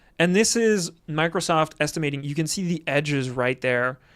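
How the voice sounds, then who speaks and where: On a very clean recording with a silent background, a man with a French accent speaks in a high pitch at a moderate pace with ordinary pitch variation. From France, Normandy. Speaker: video game streamer. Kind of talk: live stream commentary. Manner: casual, many fillers and restarts.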